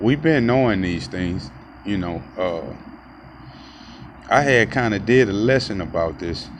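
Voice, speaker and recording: Lively intonation and a moderate pace come through over noticeable background noise and audible room echo. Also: man. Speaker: street preacher and video blogger. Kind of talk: casual monologue. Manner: loud.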